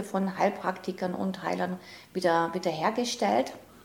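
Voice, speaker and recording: Noticeable background noise surrounds a woman whose moderate pace is matched by fairly even intonation. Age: 50s. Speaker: self-help coach, former programmer. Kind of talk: interview.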